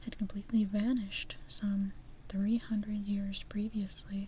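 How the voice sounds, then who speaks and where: Soft-spoken delivery at a moderate pace. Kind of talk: fairy tale reading.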